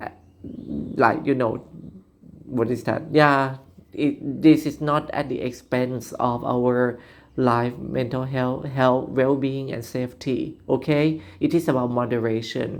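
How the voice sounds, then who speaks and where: Very slow speech with a non-native accent, on a very clean recording with a silent background. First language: Thai. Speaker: vlogger. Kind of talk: monologue commentary. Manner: halting, many fillers.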